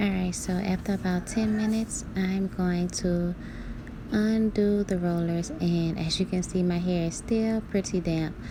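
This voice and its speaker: A woman's medium-pitched voice at a fairly slow pace, with fairly even intonation and very even loudness. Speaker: natural hair vlogger. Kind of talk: hair tutorial voice-over. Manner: casual.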